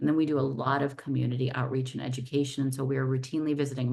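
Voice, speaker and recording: Ordinary pitch variation runs through this voice, which speaks with a Californian accent. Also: woman. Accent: General American, Californian. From Southern California, Los Angeles. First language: not English. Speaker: civil rights lawyer, nonprofit director. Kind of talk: interview. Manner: talkative.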